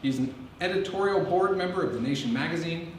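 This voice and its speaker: Delivery runs at a very fast pace with ordinary pitch variation, audible room echo and noticeable background noise. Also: man. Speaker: college English fellow introducing lecturer. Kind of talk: formal lecture introduction. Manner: formal, measured.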